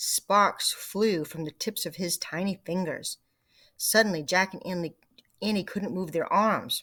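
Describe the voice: The setting is quiet. Someone reads aloud plainly.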